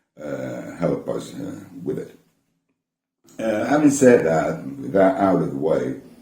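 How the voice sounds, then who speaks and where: The speech comes at a very slow pace with long, frequent pauses, very wide pitch swings and big swings in loudness, all with audible room echo. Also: man. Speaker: vinyl collector YouTuber. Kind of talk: casual talk to camera from notes. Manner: many hesitations and repeated words; mumbles somewhat.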